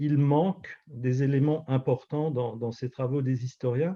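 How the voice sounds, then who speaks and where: With an Alsatian accent, a man speaks fairly slowly in a dark, mellow, somewhat breathy tone, fairly high in pitch with ordinary pitch variation. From Alsace, France. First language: Alsatian (speaking French). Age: 50s. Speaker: pastor and author. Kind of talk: interview. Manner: hesitant, many fillers.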